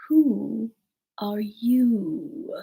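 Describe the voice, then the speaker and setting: This is a put-on character voice that sounds female. The pitch is fairly high for a woman. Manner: languid.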